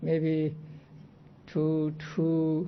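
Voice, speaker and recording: Audible room echo surrounds a man with a non-native accent and a fairly high pitch. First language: not English. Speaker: Buddhist monk teaching Abhidhamma. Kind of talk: lecture.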